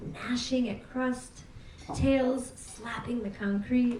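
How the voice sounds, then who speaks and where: In an American accent, a woman speaks at a very slow pace. Her pitch is high, and there is noticeable background noise. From New York City. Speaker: poet. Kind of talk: poetry reading. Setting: live venue.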